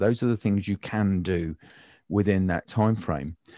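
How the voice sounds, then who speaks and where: Against a quiet background, a man with a British accent talks at a moderate pace in a fairly low pitch and dark, mellow tone, with a dry, close sound and no echo. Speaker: design trainer and educator. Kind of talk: casual chat. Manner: humorous, joking.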